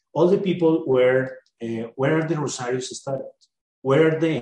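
Somewhat breathy, a man with a Spanish accent speaks at a fairly high pitch with ordinary pitch variation. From Colombia. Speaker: exchange student. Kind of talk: panel discussion. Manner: halting, many fillers.

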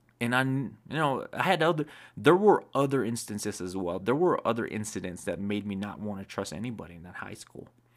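Over a silent background in a very clean recording, a man with a non-native accent speaks at a fairly quick pace and a medium pitch, with lively intonation, hardly any pauses and big swings in loudness. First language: not English. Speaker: video creator sharing life advice. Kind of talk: personal storytelling monologue. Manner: halting, with fillers and self-corrections.

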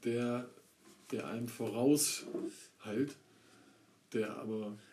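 The speech moves at a very slow pace. Its tone is dark and mellow. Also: man. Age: 30s. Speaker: podcast co-host. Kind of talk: casual chat.

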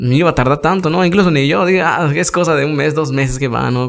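A normal speaking voice from a man, fairly quick in pace, with ordinary pitch variation. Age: 20s. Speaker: musician. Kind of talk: casual interview.

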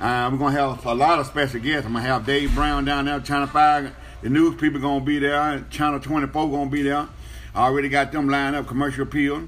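Fairly high male voice at a fairly quick pace over noticeable background noise. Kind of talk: wrestling promo hyping a free live show, with a 'y'all come on down' call to the crowd. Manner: animated, hyped-up and rapid-fire, with buddy slang like 'baby' and 'brother'; fast, excitable, piling one attraction on another.

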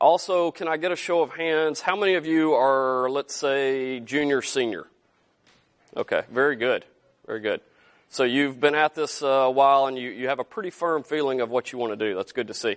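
A man with a Southern US accent, fairly high in pitch with ordinary pitch variation, in a dry, close sound with no echo. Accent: Southern US drawl, still present. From Arkansas, US South. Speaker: entrepreneur, company founder, guest speaker. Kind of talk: guest lecture to students. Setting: classroom with students.

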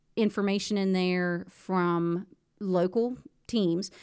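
Speaking at a very slow pace with fairly even intonation, a woman is heard on a very clean recording with a silent background. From West Virginia. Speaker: high school teacher and radio broadcaster. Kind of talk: casual interview chat.

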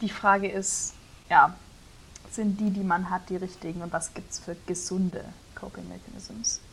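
Medium-pitched woman at a moderate pace, monotone and flat in intonation, with big swings in loudness and long, frequent pauses. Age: 20s. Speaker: theology student and podcast co-host. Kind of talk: casual chat.

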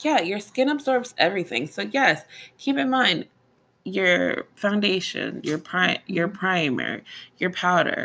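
A woman at medium pitch uses very wide pitch swings, vocal fry and a bright, sharp, animated tone. She goes at a fairly slow pace on a very clean recording with a silent background. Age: 30s. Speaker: esthetician podcast co-host. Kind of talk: casual chat.

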